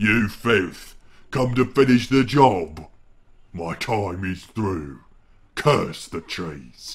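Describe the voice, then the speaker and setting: Growling in a put-on character voice, a man speaks very slowly at a fairly low pitch with long, frequent pauses. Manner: weak, snarling, coughing.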